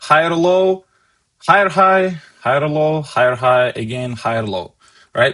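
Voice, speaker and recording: A man with a non-native accent, fairly high-pitched, at a fairly slow pace with lively intonation. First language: not English. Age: 20s. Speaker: stock market trader and streamer. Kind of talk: live market analysis stream. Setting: live stream with chat.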